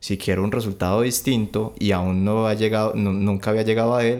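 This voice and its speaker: The voice belongs to a man with a fairly low pitch and monotone, flat intonation. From Colombia, mostly Valle del Cauca (Cali). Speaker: music production graduate. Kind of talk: casual chat.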